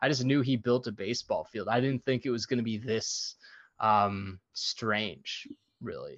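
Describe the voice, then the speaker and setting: At a fairly slow pace, a man with an ordinary speaking voice talks at medium pitch with fairly even intonation. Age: 30s. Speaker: film podcast co-host. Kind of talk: casual chat.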